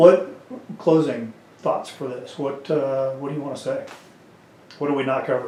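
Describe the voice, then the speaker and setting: With a Kansas accent, a man speaks at a fairly high pitch with fairly even intonation, big swings in loudness and long, frequent pauses, while noticeable background noise and audible room echo fill the recording. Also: moderate pace. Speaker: interviewer, veteran community organizer. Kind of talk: casual interview. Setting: on camera.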